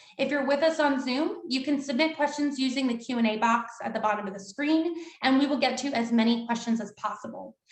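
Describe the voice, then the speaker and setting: A woman talks at a fairly quick pace and a high pitch, with audible room echo. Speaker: event moderator. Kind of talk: virtual event moderation. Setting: video call. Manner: fast.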